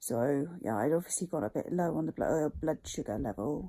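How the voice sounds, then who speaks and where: This woman's voice is very deep and low, dark and mellow, with vocal fry. Her pitch swings very widely. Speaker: vlogger with CFS/ME, trail runner. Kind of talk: casual vlog. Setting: in bed at home. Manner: hesitant, many fillers.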